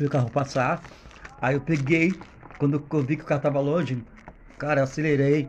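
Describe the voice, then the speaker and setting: A man with a fairly high pitch talks at a moderate pace with monotone, flat intonation over noticeable background noise. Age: 40s. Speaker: podcast guest. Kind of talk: casual chat.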